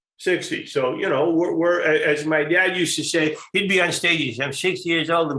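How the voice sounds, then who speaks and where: Noticeable background noise runs under this man's voice. He talks at a fairly quick pace with a high pitch. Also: hardly any pauses. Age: 60s. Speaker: comedian. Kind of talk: casual chat. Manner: halting.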